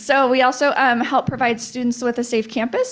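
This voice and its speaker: A woman speaks in a high pitch. Her pace is fairly quick. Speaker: school district staff presenter. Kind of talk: board meeting presentation. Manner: fast; frequent fillers and restarts.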